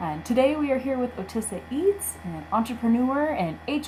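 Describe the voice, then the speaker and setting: A woman speaks at a moderate pace. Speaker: small business development center host. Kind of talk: webinar introduction.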